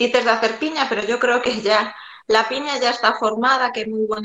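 A woman with a Galician accent speaks at a fairly high pitch with fairly even intonation. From Galicia, Spain (A Coruña). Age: 40s. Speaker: amateur runner. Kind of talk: casual interview.

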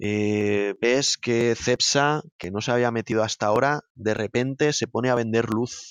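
At a fairly slow pace with hardly any pauses, a man talks at a medium pitch with fairly even intonation. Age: 30s. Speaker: operations director of an EV charging installer. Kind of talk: interview. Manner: hesitant, with fillers and repetitions.

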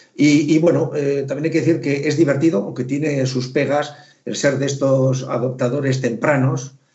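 Amid audible room echo, a man speaks at a moderate pace in a fairly high, monotone, flat voice. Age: 60s. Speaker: retired theoretical physicist, electric car owner. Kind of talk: casual chat.

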